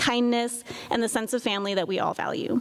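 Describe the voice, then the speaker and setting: There is noticeable background noise behind a woman with a high pitch. She talks at a fairly quick pace. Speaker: PA program faculty member. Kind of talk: award ceremony speech. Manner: fast.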